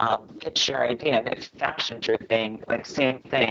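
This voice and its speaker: Over noticeable background noise, a woman with a very deep, low voice talks at a moderate pace. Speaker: travel video creator and founder of a travel site. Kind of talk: podcast interview. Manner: casual, filler-heavy.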